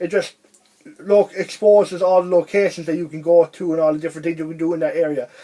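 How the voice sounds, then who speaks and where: A man talks at a very fast pace. His pitch is high. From Ireland. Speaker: video game reviewer. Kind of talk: casual video review monologue. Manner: rambling, halting with restarts.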